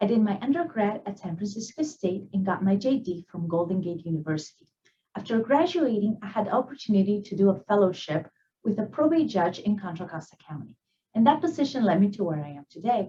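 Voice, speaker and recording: Her dark, mellow voice somewhat breathy, a woman speaks at a fairly quick pace with very wide pitch swings and big swings in loudness. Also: medium pitch for a woman. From Peru. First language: Spanish. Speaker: attorney. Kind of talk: prepared professional presentation. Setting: virtual event recording.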